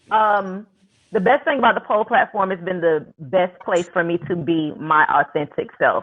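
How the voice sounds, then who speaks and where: Speaking at a fairly slow pace, a woman talks with a Southern US accent. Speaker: pole dance studio owner. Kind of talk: panel discussion.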